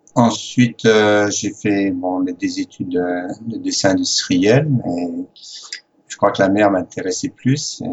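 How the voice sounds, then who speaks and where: This man speaks with a French accent. His pace is very slow. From France. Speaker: sailor. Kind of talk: interview.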